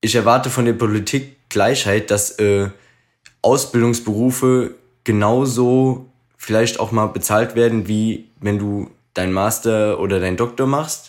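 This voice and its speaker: On a very clean recording with a silent background, a man speaks at a fairly slow pace in a medium pitch with fairly even intonation. He has a plain, everyday voice. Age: 30s. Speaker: podcast co-host. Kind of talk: casual chat.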